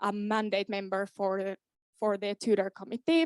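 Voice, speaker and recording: Woman's medium-pitched voice in a Finnish accent, dry and close with no echo, in a very clean recording with a silent background. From Finland, Kainuu. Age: 20s. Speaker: student board candidate. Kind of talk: candidate speech at meeting. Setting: student association meeting.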